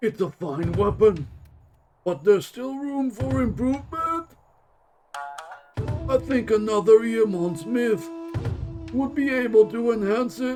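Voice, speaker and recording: A man uses a put-on character voice at a high pitch, swinging very widely in pitch at a fairly slow pace with long, frequent pauses while faint music plays behind him. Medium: game stream. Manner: measured, deliberate.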